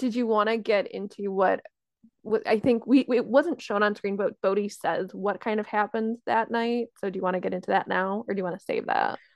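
A woman with an ordinary speaking voice talks at a fairly quick pace in a fairly high pitch with fairly even intonation. The sound is dry and close with no echo, over a quiet background. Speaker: podcast co-host. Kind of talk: casual chat.

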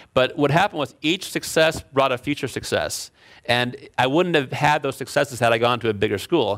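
A man with an American accent and a plain, everyday voice speaks at a fairly quick pace in a medium pitch with ordinary pitch variation, on a very clean recording with a silent background. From Chicago. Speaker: engineering professor and author. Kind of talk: lecture.

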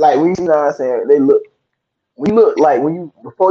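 A man speaks with a Southern US accent. His voice sits fairly high, with ordinary pitch variation. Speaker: podcaster and artist. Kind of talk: casual debate chat. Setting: live video call show. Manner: soft-spoken.

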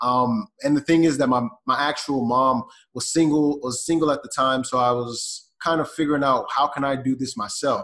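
Speaking at a moderate pace with hardly any pauses, a man with an ordinary speaking voice and an American accent keeps a fairly high pitch and fairly even intonation. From US South, Atlanta, Georgia. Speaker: e-commerce entrepreneur. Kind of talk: podcast interview.

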